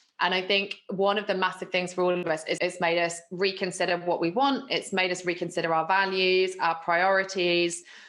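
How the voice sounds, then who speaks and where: Over a quiet background, a woman at medium pitch speaks in a flat monotone with very even loudness and hardly any pauses. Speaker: copywriting business owner. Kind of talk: interview. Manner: fast.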